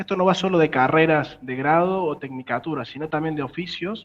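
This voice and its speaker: A man with a Córdoba Argentine accent speaks at a moderate pace in a high pitch. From Argentina, Córdoba. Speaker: tech startup founder. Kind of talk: interview.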